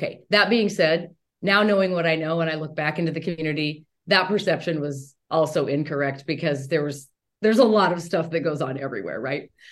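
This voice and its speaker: With a Western US accent, a woman speaks at a fairly quick pace in a very deep, low voice with ordinary pitch variation. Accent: General American (Western US). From Montana, near Bozeman. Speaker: toxic relationship coach and chiropractor. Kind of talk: interview conversation. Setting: recorded in a gift store.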